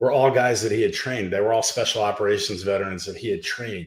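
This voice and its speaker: A man talks with a Pennsylvania accent. His voice sits at medium pitch. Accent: American (Pennsylvania). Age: 60s. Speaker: nonprofit co-founder. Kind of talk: podcast interview.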